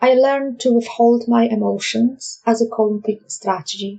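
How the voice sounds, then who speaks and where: Speaking at a fairly slow pace with a Polish accent, a woman uses a fairly high pitch, a dark, mellow tone and fairly even intonation. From Poland. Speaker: life coach. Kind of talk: podcast monologue.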